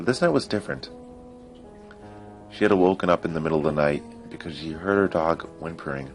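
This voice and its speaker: With music in the background, a man with a very deep, low voice talks at a fairly quick pace broken by long, frequent pauses. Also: ordinary pitch variation. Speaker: creepypasta narrator. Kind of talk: horror story narration.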